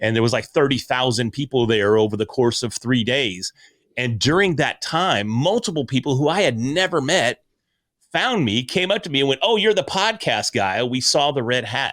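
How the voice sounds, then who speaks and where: Loud and swinging very widely in pitch, a man's voice comes through on a very clean recording with a silent background. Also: medium pitch for a man, moderate pace. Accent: American. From US Ozarks. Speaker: podcaster and speaker. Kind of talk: interview conversation.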